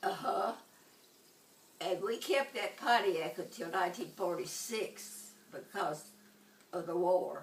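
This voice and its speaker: A woman talks very slowly at a medium pitch with ordinary pitch variation, leaving long, frequent pauses over noticeable background noise. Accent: Tennessee. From Tennessee. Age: 80s+. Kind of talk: interview answer.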